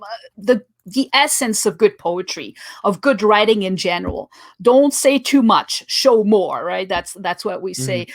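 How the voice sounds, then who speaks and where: With a French accent and lively intonation, a woman speaks at a fairly slow pace. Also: medium pitch for a woman. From France. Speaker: poet and photographer. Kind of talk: casual chat.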